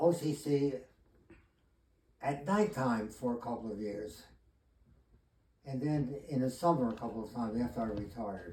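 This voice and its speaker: A man with a medium-pitched, dark, mellow and somewhat breathy voice, lively intonation and long, frequent pauses. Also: moderate pace. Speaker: retired chemistry teacher. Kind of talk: interview answer.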